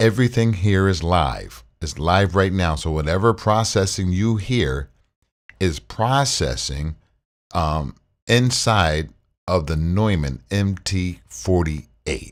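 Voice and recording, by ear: A man speaks slowly in a low voice with lively intonation, on a very clean recording with a silent background.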